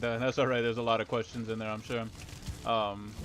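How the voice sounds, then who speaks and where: The voice belongs to a man with a medium pitch. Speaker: gaming streamer. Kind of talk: casual gameplay commentary. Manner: fast.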